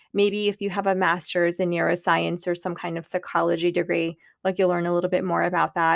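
An animated tone at a fairly quick pace. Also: woman, fairly low pitch for a woman. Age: 30s. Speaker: podcast host and divorce coach. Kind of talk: solo podcast monologue.

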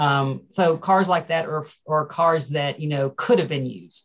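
A woman's very deep, low, somewhat breathy voice with an American accent. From Ferrum, Franklin County, Virginia. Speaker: museum director. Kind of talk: casual interview.

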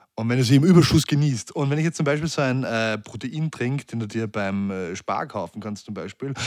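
A man speaks at a fairly quick pace with lively intonation and a medium pitch, in an unremarkable speaking voice. The sound is dry and close, with no echo. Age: 30s. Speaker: fitness trainer and social media personality. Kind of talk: casual interview chat.

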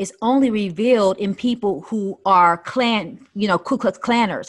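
The recording is very clean, with a silent background. A woman speaks in an animated tone at a fairly slow pace. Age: 50s. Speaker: life strategist and minister. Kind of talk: casual chat.

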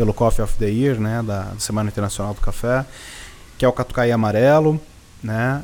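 This man has an unremarkable speaking voice, a medium pitch and a moderate pace. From Brazil, Serra da Mantiqueira (Minas Gerais). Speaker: coffee farmer. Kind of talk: interview.

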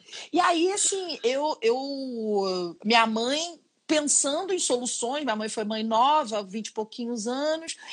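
A woman with a high pitch speaks at a very slow pace with hardly any pauses and very wide pitch swings. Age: 40s. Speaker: chef. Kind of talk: casual chat. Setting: Instagram live video call.

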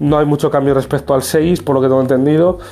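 This man talks at a fairly quick pace in a fairly high pitch. His tone is dark and mellow, and his intonation stays fairly even. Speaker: tech youtuber. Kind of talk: casual vlog review.

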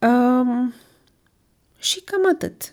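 This woman's voice has a dark, mellow tone. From Romania, Brașov. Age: 20s. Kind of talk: casual monologue.

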